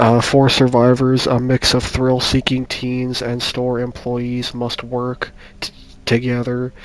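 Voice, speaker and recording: Over noticeable background noise, a soft-spoken man talks at a very slow pace. His pitch is medium and his intonation monotone and flat. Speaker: YouTuber pitching game concepts. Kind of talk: casual monologue. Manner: halting, many fillers.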